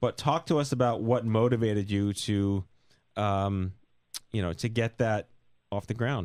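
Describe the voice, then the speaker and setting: Long, frequent pauses break up this fairly slow delivery, which has ordinary pitch variation. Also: man, fairly low pitch for a man. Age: 40s. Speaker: podcast host. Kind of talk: interview.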